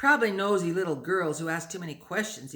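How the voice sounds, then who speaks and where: A man puts on a growling character voice with a high pitch. He races along at a very fast pace with lively intonation. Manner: raised voice, menacing, sarcastic.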